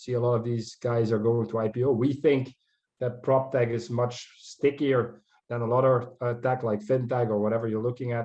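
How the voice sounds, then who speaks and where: The man's voice sits at a medium pitch with monotone, flat intonation. He talks at a moderate pace. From Netherlands. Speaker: proptech investor and dealmaker. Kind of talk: conference talk with slides.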